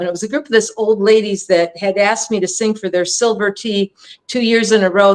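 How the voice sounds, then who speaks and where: Speaking fairly quickly at a fairly high pitch, a woman uses an ordinary speaking voice with an American accent. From California. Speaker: singer-songwriter. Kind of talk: casual chat.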